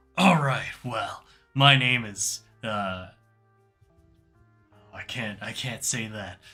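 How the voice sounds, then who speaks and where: A put-on character voice at a very slow pace, broken by long, frequent pauses, over faint background music. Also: man, medium pitch for a man. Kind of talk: rock concert hype. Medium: actual play. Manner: energetic, crowd-pumping.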